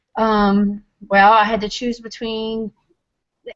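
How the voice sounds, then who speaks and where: This woman speaks at a medium pitch with a Louisiana accent. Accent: Louisiana Southern US. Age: 40s. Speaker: weight-loss testimonial guest. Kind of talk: testimony. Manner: halting, many ums.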